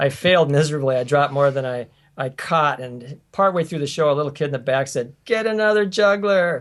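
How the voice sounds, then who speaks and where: A man with a fairly high pitch and an American accent, a plain, everyday voice, lively intonation and a fairly quick pace. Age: 60s. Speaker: family circus performer, juggler. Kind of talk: interview.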